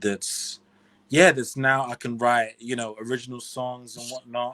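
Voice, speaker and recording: A man with a British accent at a fairly slow pace. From UK. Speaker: singer-songwriter. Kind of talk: casual interview. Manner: soft-spoken.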